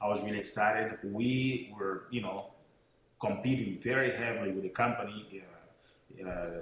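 The speaker talks at a moderate pace with fairly even intonation in a Portuguese accent. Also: man. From São Tomé and Príncipe, West Africa (Portuguese-speaking). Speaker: network marketing speaker and mentor. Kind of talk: motivational talk. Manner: hesitant, many fillers.

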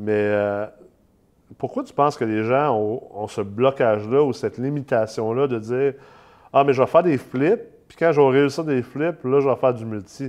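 A man talks in a normal speaking voice at a moderate pace and medium pitch, with ordinary pitch variation. The background is quiet. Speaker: podcast host, real estate investment company CEO. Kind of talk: casual interview; promotional pitch.

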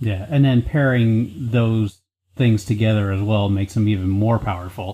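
A normal speaking voice from a man, fairly low in pitch, with fairly even intonation and a moderate pace. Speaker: podcast host. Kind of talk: casual banter, game review.

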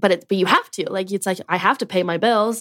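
Speaking with an American accent, a woman keeps a medium pitch and fairly even intonation. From Louisiana, then Florida. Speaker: podcaster and content creator. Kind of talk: casual interview chat.

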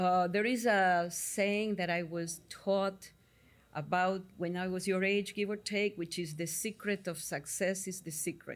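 With an Argentine accent, a woman at medium pitch speaks with fairly even intonation in a very clean recording against a silent background. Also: fairly slow pace. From Argentina, Buenos Aires. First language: Spanish. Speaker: psychotherapist. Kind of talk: interview. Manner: halting.

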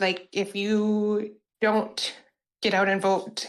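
A woman with an American accent, medium in pitch, in a monotone, flat intonation. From Wisconsin. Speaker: call-in show caller.

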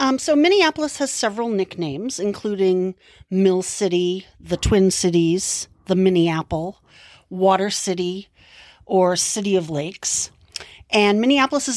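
With an American accent and a plain, everyday voice, a woman speaks at a moderate pace and medium pitch, her intonation lively and the sound dry and close with no echo. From Massachusetts. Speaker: true crime podcast co-host. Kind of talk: scripted narration.

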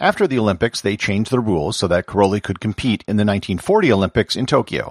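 Recorded very cleanly with a silent background and a dry, close sound with no echo, a man with a fairly low pitch speaks at a fairly quick pace. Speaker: podcast host. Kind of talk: history documentary narration. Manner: steady, measured storytelling pace; clear, even and informative.

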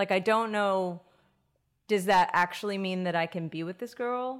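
A woman with a medium pitch. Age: 30s. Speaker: singer-songwriter and cultural ambassador. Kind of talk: casual interview. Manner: animated.

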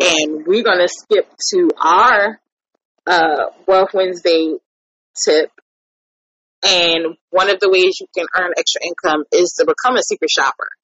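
A woman speaks at a fairly slow pace, with long, frequent pauses. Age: 30s. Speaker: podcast host. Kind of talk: casual chat.

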